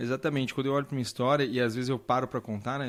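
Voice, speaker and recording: Speaking at a very fast pace, a man of medium pitch has a slight Minas Gerais accent. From Brazil, south Minas Gerais (Pouso Alegre). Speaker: doctor. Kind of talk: interview testimony.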